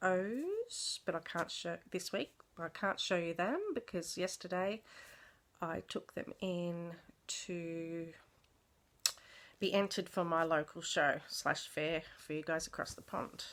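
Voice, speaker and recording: With long, frequent pauses and a very slow pace, a woman speaks in an Australian accent at a fairly low pitch, in a very clean recording with a silent background. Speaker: craft vlogger. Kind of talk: casual show-and-tell vlog. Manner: hesitant, many fillers.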